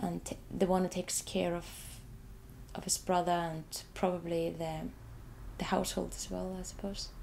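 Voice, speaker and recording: A woman with an Icelandic accent at a moderate pace, broken up by long, frequent pauses. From Iceland, Reykjavik. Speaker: artist, photographer. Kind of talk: interview about own artwork. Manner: halting, many repetitions.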